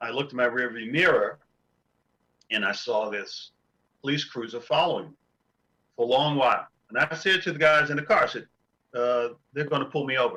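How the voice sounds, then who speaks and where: A man's bright, sharp voice. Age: 60s. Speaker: retired FBI law enforcement professional. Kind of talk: panel discussion. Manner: halting, many fillers.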